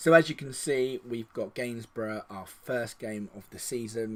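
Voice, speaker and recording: A man's medium-pitched voice at a moderate pace, with fairly even intonation, on a very clean recording with a silent background. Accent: English. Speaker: video game streamer. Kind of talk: gameplay commentary.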